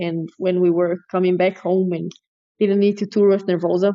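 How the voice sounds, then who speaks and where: A woman with a Portuguese accent speaks at a medium pitch in a monotone, flat intonation. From Brazil. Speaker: metal drummer. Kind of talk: interview.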